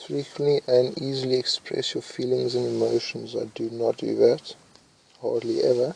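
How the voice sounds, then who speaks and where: Loudness swings widely at a moderate pace, with noticeable background noise behind the voice. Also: man. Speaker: YouTuber. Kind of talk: commentary while reading test questions aloud. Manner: hesitant, with fillers and restarts.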